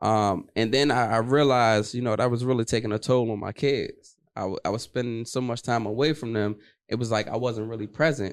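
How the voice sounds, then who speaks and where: In an ordinary speaking voice, a man with an American accent talks at a fairly quick pace and a medium pitch. His intonation stays fairly even over a quiet background. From Washington, D.C. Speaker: trucking entrepreneur, former military police. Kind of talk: casual interview.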